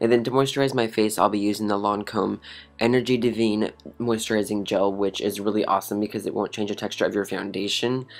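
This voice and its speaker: A man's fairly low voice at a very fast pace, upbeat in tone, with music in the background. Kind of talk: makeup tutorial voice-over. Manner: upbeat, casual.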